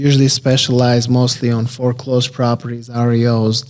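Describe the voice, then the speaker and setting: With an Albanian accent, a man speaks at a moderate pace in a medium pitch and a monotone, flat intonation. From Albania, then South Carolina from age 15. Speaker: real estate investor. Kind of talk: podcast interview.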